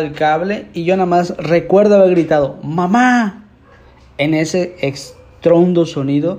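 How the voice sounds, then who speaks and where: Fairly high in pitch with ordinary variation, a man speaks in a dark, mellow tone. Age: 20s. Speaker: podcast host. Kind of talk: casual monologue. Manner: hesitant.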